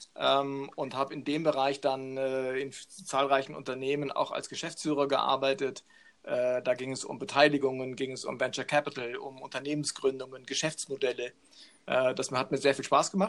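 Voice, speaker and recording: A man's fairly high-pitched voice at a moderate pace, with monotone, flat intonation. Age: 50s. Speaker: business coach. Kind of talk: interview.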